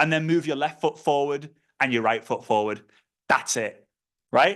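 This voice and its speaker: An animated man with a Liverpool accent, fairly quick in pace, with very wide pitch swings against a quiet background. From northern England, Liverpool. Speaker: network marketing trainer. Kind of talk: online training call talk. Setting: online video call. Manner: fast.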